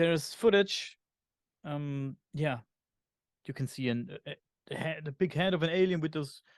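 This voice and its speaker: Over a quiet background, a man with a German accent speaks at a moderate pace and fairly high pitch, with fairly even intonation and a dry, close sound with no echo. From Germany. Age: 40s. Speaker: podcast host. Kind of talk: interview conversation. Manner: hesitant, many fillers.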